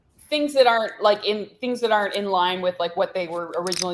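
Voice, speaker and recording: A woman talks very fast at a medium pitch, her pitch varying in an ordinary way. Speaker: poker player. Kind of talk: casual chat. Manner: mumbling.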